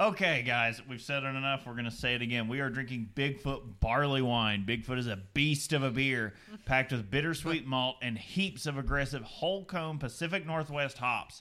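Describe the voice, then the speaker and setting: A bright, sharp tone with a Southern US accent. The pitch varies in an ordinary way. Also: man, medium pitch for a man. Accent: Southern US drawl, still present. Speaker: beer podcast co-host. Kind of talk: scripted narration; casual chat. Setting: live stream. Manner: animated.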